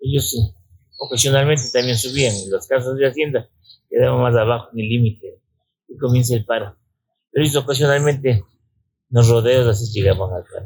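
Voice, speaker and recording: A man talks at a fairly quick pace, his voice somewhat breathy with ordinary pitch variation. He leaves long, frequent pauses. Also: medium pitch for a man. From Ecuador, Riobamba (Andean highlands). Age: 80s+. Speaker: mountaineer. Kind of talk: interview. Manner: halting, with repetitions.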